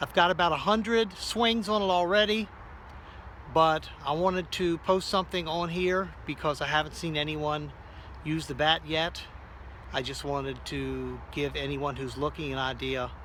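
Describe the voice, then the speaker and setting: Here a man talks at a fairly slow pace. Long pauses come often. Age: 60s. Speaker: amateur softball player. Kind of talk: casual product demo.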